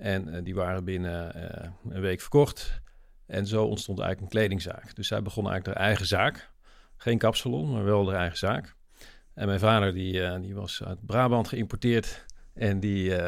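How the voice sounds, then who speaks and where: Moderate pacing and fairly even intonation from a man with a fairly low pitch. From Netherlands, Limburg. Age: 40s. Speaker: social entrepreneur, nonprofit founder. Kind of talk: interview conversation.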